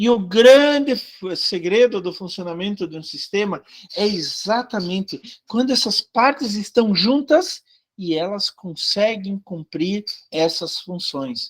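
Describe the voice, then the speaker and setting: A man speaks at a very slow pace. His high-pitched voice carries lively intonation. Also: dry, close sound with no echo. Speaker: university professor. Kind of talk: lecture.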